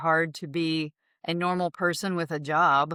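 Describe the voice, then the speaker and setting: In a Southern US accent, a woman speaks at a fairly low pitch with monotone, flat intonation, her voice dry and close with no echo on a very clean recording over a silent background. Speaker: real estate agent. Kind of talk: podcast interview. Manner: casual, conversational.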